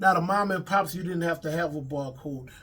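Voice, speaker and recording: A man talks with a Louisiana accent. His voice is high and his intonation fairly even. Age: 50s. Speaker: comedian and actor, former rapper. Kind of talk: interview. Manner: casual.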